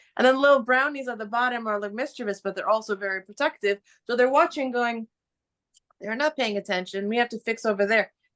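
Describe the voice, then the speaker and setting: Speaking very fast in an animated tone, a woman uses a fairly high pitch with ordinary pitch variation, the sound dry and close with no echo. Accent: New York. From New York. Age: old. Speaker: spiritual teacher. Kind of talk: casual chat. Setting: video call.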